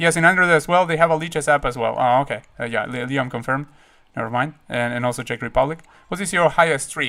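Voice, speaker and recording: A very fast, bright, sharp male voice, fairly high in pitch, with a Spanish accent. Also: ordinary pitch variation. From Uruguay. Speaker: chess streamer. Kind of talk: live stream chat. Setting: live stream. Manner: halting, many fillers and repeats.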